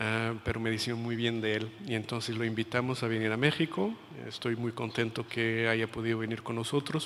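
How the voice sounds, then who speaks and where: A man speaks at a moderate pace and medium pitch with a slight Portuguese accent. His intonation is flat and monotone. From Portugal. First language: Portuguese (speaking Spanish). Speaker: international education policy expert. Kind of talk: lecture. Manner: hesitant, many fillers and repetitions.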